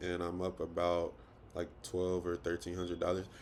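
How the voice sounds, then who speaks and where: The man's voice has a very deep, low pitch. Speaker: trading content creator. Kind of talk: tutorial. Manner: fast; casual, halting with fillers.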